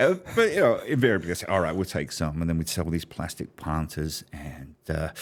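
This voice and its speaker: Speaking at a fairly quick pace with hardly any pauses, a man talks with a London accent. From London, England. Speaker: business strategist. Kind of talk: interview storytelling.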